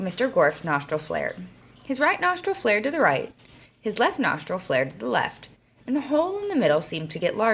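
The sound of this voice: The text is read in an unforced voice.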